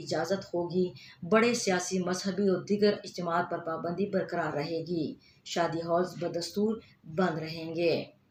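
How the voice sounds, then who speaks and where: Noticeable background noise behind a woman with a fairly low-pitched voice. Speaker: radio news reader. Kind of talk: radio news bulletin. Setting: studio.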